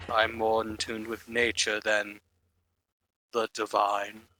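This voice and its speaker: Doing a put-on character voice, a man speaks fairly slowly at a medium pitch with monotone, flat intonation. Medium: actual play.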